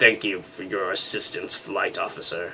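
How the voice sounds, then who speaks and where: A man puts on a gravelly, raspy character voice at a moderate pace, with clear background noise behind him. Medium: solo performance. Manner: haughty, formal.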